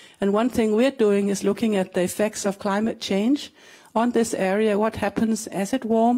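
Over a quiet background, a woman speaks with a Danish accent in a dark, mellow tone. Her fairly high pitch stays monotone and flat. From Denmark. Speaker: glaciologist, research scientist; guest. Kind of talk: panel talk; interview answer. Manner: halting. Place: stage. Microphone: handheld.

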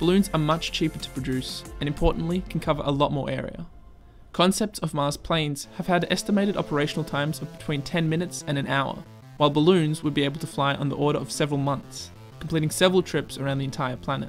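Music plays in the background. A man talks very fast with ordinary pitch variation. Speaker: science video narrator. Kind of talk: educational narration.

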